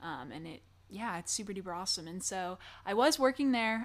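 With an American accent, a woman speaks fairly quickly at a medium pitch in a plain, everyday voice, on a very clean recording with a silent background. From Michigan. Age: 20s. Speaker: actor. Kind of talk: casual interview.

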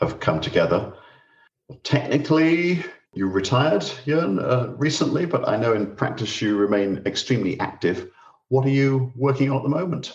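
A man with a somewhat breathy voice speaks at a moderate pace. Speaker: podcast host and professor. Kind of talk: interview. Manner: formal.

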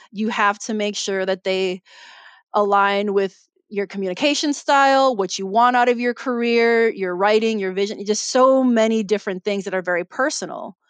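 With a Chicago accent, a woman talks at a moderate pace in a medium pitch that varies in an ordinary way. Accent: Chicago American English. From Chicago, US Midwest. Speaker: mystery author. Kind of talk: casual interview chat.

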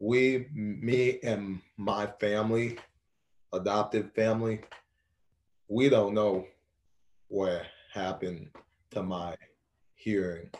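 A man's fairly low voice at a very slow pace, with fairly even intonation and long, frequent pauses. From Haiti. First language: Haitian Creole. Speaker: college athlete and abuse survivor. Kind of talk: interview testimony.

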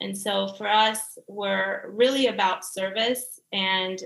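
Her tone comes across bright and sharp. The woman has an American accent. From US South, Georgia. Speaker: real estate agent. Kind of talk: casual interview.

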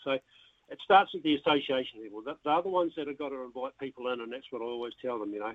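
A man with a New Zealand accent at medium pitch, very fast and with hardly any pauses, ordinary pitch variation and big swings in loudness. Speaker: darts association president. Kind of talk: radio interview. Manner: halting.

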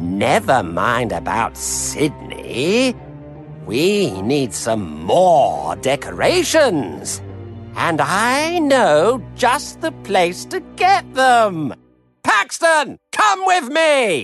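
A put-on character voice at a very slow pace, faint music in the background. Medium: read story. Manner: bossy, brash.

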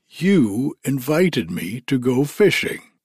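A man is speaking. He uses a put-on character voice. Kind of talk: bedtime storybook reading. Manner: jovial, bold, laughing.

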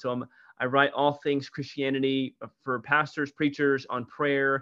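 A man talks with an American accent, in an ordinary speaking voice at a medium pitch. His pace is fairly quick and his intonation fairly even. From US Midwest, St. Louis, Missouri. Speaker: pastor. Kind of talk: interview conversation.

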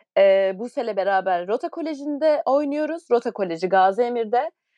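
A woman with an unremarkable speaking voice, fairly high in pitch, lively in intonation, at a moderate pace, in a dry, close sound with no echo. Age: 20s. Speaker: podcast co-host, professional volleyball player. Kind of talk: casual chat.

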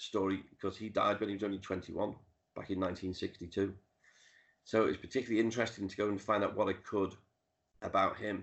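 A man speaks with a Liverpool accent. His pitch is fairly low and his intonation monotone and flat. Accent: Liverpool (Scouse). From Liverpool, England (Dingle). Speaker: author and music historian. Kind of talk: interview. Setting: video call.

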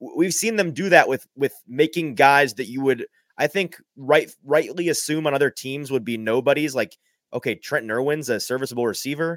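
Recorded with a dry, close sound and no echo, a man with a normal speaking voice talks at a moderate pace and fairly high pitch, with ordinary pitch variation. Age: young. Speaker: sports podcaster. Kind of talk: casual live sports talk.

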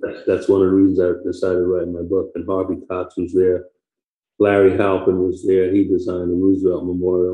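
Speaking with an American accent at a moderate pace, a man has a very deep, low pitch. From New York (Harlem, then Queens). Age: 80s+. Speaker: retired naval flight officer and author. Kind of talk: interview, telling life story.

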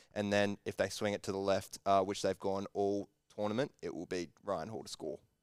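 Speaking with an Australian accent, a man uses a fairly low pitch and a monotone, flat intonation. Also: moderate pace. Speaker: sports betting podcast co-host. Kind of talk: casual banter.

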